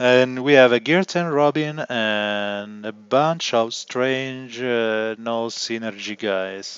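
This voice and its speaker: Speaking very slowly in an Italian accent, a man has a medium pitch and ordinary pitch variation. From Italy. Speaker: gaming livestreamer. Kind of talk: live gameplay commentary.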